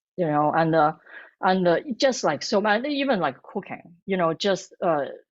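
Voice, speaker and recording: Someone talks at a moderate pace against a quiet background. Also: woman. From northern China, Beijing. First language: Mandarin Chinese. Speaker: food blogger and cookbook author. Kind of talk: interview. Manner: halting, many false starts.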